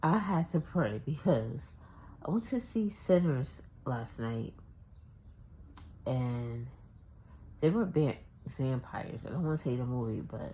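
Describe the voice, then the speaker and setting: Quiet and somewhat breathy, a woman with a very deep, low pitch and a dark, mellow tone speaks at a fairly slow pace with very wide pitch swings. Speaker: vlogger. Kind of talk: casual vlog. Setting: at home. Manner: quiet, talking low.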